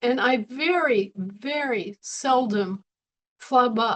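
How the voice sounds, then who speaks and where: Her pitch is high and her intonation lively as this woman speaks. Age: 60s. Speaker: spiritual teacher. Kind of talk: webinar talk. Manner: conversational, rhetorical questions.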